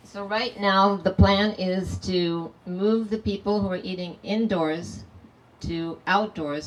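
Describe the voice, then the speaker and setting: There is noticeable background noise as a woman with a fairly low pitch speaks with ordinary pitch variation. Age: 70s. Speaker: party host celebrating her birthday. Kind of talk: speech to party guests. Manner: informal, chatty.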